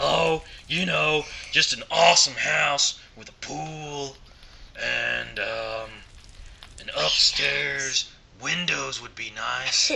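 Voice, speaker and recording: Very slow delivery from a man in a put-on character voice. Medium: machinima.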